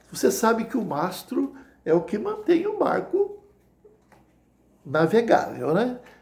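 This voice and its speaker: A man speaks at a very slow pace with long, frequent pauses, and the room echo is audible. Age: 60s. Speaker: lay preacher. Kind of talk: sermon. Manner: hesitant with repetitions.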